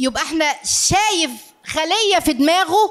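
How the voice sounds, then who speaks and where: In an Egyptian accent, someone speaks in an animated tone against a quiet background. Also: woman. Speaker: family counselor and lecturer; lecturer. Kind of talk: live lecture to audience. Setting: lecture hall with audience. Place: hall. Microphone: handheld.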